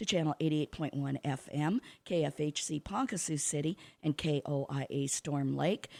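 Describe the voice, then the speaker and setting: At a moderate pace, a woman with a very deep, low voice talks in a Midwestern American accent. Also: dry, close sound with no echo, very clean recording, silent background. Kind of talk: radio interview. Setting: radio studio. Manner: talkative.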